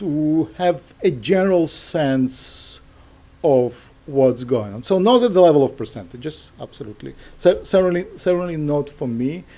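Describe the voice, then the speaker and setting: A man with a Russian accent speaks at a moderate pace, his pitch fairly high. His tone is dark and mellow, with lively intonation. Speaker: professor. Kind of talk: Q&A after a lecture. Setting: university talk with audience.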